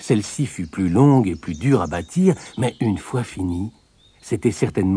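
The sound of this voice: An unforced reading voice, its intonation lively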